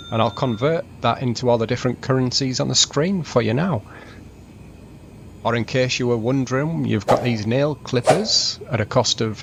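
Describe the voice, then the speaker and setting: Through noticeable background noise, a man talks with a northern British accent. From northern England. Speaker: travel vlogger. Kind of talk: travel vlog narration. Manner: fast.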